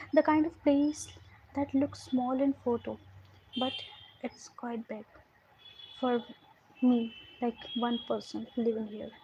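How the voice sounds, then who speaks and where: In an Indian accent, a woman talks at a fairly slow pace. Her pitch is high and her intonation fairly even. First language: Hindi. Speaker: storyteller. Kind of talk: storytelling. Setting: livestream. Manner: halting.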